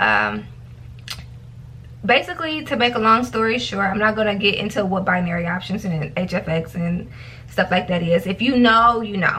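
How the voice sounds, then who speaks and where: Lively intonation from a woman with an ordinary speaking voice, at a medium pitch and moderate pace. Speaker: vlogger / trader. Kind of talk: casual vlog warning. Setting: self-recorded video.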